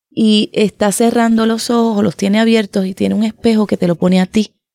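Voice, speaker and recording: In a woman's dark, mellow tone, the speech stays monotone and flat, with a dry, close sound and no echo. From Puerto Rico. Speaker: writer and poet. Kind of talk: author introduction to a reading.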